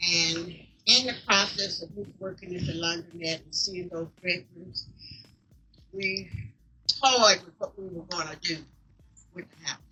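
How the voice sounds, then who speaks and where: A woman with a Southern US accent speaks at a fairly slow pace, with long, frequent pauses. Her loudness swings widely while her pitch variation stays ordinary. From Mississippi. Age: 80s+. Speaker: co-founder of veterans house. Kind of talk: speech at community event.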